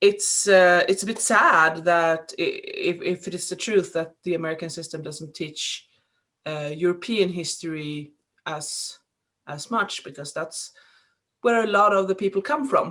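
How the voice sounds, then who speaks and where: A woman with a Swedish accent, a bright, sharp tone, big swings in loudness and a fairly slow pace. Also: medium pitch for a woman, ordinary pitch variation. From Sweden. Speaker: podcast host. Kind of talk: casual chat. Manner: halting.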